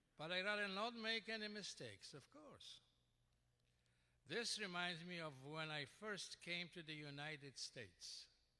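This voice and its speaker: At a fairly slow pace, a man with a Polish accent speaks at a high pitch in a bright, sharp tone. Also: lively intonation. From Poland. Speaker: award honoree, radio broadcaster. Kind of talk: acceptance speech. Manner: halting.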